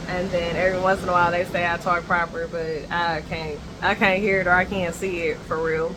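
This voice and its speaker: A woman talks fairly quickly at a fairly low pitch, her intonation flat and monotone, with hardly any pauses. Audible room echo and noticeable background noise fill the recording. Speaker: vlogger. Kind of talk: casual vlog chat. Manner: talkative, rambling pace.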